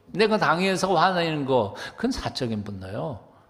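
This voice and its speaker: Lively intonation marks this man's very slow delivery. Audible room echo surrounds his voice. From South Korea, Chuncheon, Gangwon. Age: 70s. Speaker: pastor. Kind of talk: sermon.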